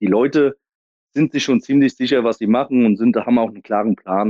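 A man's dark, mellow voice at a fairly quick pace, with ordinary pitch variation and a dry, close sound with no echo. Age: 30s. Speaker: American football head coach. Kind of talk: interview.

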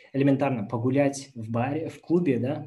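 This man's voice has a dark, mellow tone, sounds somewhat breathy, and moves at a moderate pace. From Kazakhstan. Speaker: former engineer sharing experience of working abroad. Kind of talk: webinar talk with Q&A. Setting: YouTube livestream.

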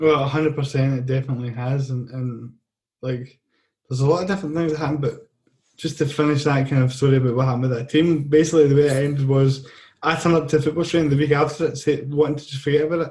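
Man's fairly high, somewhat breathy voice with a Scottish accent, monotone and flat, at a very fast pace. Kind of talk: casual chat.

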